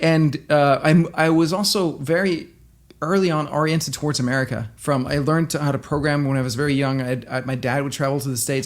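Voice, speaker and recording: Speaking fairly quickly with a slight Danish accent, a man uses a fairly high pitch and fairly even intonation. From Denmark. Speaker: entrepreneur. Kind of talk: interview.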